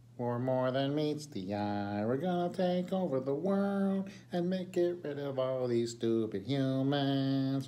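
Over clear background noise, a man does a put-on character voice at medium pitch and a fairly slow pace. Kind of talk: casual vlog chat. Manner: joking, menacing, mock world domination.

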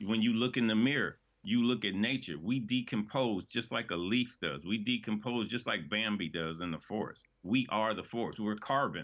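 A man talks at a moderate pace with hardly any pauses, a fairly low pitch and ordinary pitch variation. The background is quiet. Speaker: community gardener and activist; guest. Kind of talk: interview. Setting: remote video link. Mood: earnest, reflective, some humor. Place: home room. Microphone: webcam.

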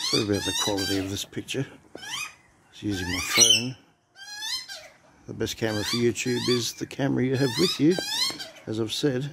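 Loud background noise fills the recording. A man talks at a fairly quick pace. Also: ordinary pitch variation. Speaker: backyard bird feeder vlogger. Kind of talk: casual vlog chat. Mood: amused, relaxed. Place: garden. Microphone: phone near.

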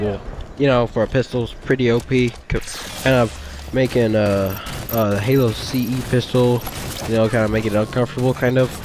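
Noticeable background noise behind a man's medium-pitched voice at a moderate pace. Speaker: gamer. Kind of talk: casual gameplay commentary. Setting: background noise at home. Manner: excited.

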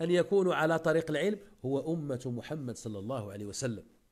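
A man talks with very wide pitch swings against a quiet background. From Morocco. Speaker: Islamic preacher. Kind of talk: religious lesson. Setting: live online session. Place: home room. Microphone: earbuds.

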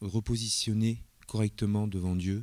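Ordinary pitch variation comes through a dry sound with no echo and a quiet background. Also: man. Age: 50s. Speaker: church elder in training. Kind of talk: testimony. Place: church. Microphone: handheld.

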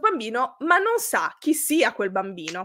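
A woman with a high pitch and a bright, sharp tone makes very wide pitch swings against a quiet background. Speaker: youtuber, live show host. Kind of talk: casual chat, live stream storytelling. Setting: live stream. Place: home room.

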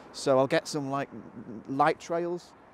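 A man talks at a moderate pace, his pitch varying in an ordinary way, with noticeable background noise behind him. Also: dry sound with no echo. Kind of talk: tutorial. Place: waterside. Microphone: phone near.

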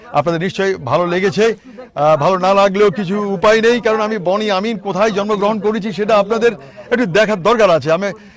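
Noticeable background noise runs behind a man's voice. He speaks with a high pitch and ordinary pitch variation. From Bangladesh, Noakhali (Hatiya island). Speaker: YouTuber. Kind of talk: travel vlog. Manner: animated.

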